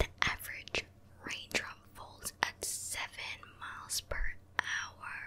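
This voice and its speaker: The pace is very slow. A woman speaks in a whisper. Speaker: ASMR creator. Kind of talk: ASMR whispered fact reading. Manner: whispered. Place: home room. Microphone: studio mic.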